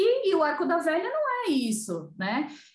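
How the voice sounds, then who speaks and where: A woman speaks with audible room echo. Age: 40s. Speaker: digital content specialist in family business. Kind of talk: interview.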